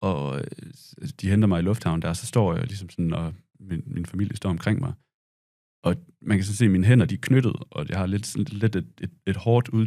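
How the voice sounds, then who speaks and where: Speaking at a fairly quick pace with long, frequent pauses, a man uses a fairly low pitch, ordinary pitch variation and a dark, mellow tone. His loudness swings widely against a quiet background. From Denmark. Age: 30s. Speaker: war veteran and journalist. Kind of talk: casual interview. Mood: reflective, calm. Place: studio. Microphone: studio mic.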